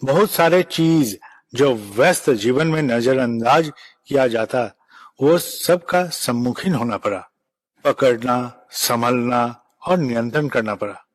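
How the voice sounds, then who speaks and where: A man with a non-native accent talks at medium pitch with lively intonation. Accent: non-native Hindi. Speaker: spiritual leader. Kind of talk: religious address. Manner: formal.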